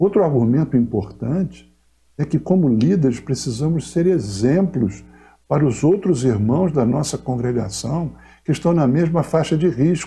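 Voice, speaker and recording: This man has a fairly high pitch, lively intonation and a dark, mellow tone. Vocal fry runs through his speech. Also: fairly slow pace, very even loudness. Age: 60s. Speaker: pastor. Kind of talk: pastoral message to congregation. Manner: formal.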